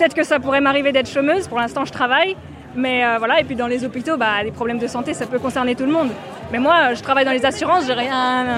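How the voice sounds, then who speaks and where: Over crowd noise, a woman with a high pitch talks at a very fast pace with ordinary pitch variation. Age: 20s. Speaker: salaried employee at a protest. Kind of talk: vox pop interview. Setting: outdoors at a street demonstration.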